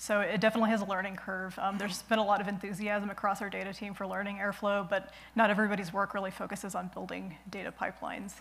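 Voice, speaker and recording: A woman talks very fast in a monotone, flat intonation with hardly any pauses. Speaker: conference presenter. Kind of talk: technical conference talk. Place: stage.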